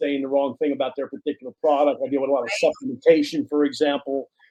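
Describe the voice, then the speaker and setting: A man with a fairly high pitch and monotone, flat intonation at a very fast pace. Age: 60s. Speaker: entrepreneur and author. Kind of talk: podcast interview. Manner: repeats words, halting at times.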